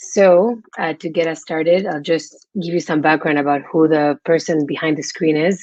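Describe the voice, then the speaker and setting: Using fairly even intonation, a woman with a Spanish accent speaks at a moderate pace. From Spain. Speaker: freelance platform manager. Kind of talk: webinar presentation.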